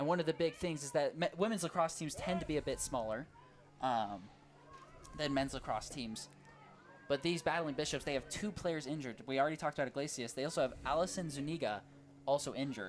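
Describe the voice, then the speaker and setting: Talking at a very fast pace, a man with a fairly high pitch uses ordinary pitch variation. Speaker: sports commentator. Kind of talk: live commentary.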